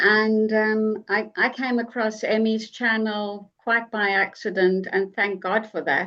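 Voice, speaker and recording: A woman with a South African accent speaks very slowly, with hardly any pauses, at a fairly high pitch in a bright, sharp tone. Her intonation is monotone and flat, and the background is quiet. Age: 60s. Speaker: online group member. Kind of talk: casual group video meeting. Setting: video call.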